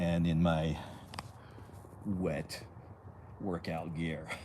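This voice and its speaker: In a room with audible echo, a man with a very deep, low pitch speaks with a slight French accent. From France (Paris), moved to US. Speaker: fitness streamer. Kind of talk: live stream chat. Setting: outdoors. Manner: halting, many repeated words.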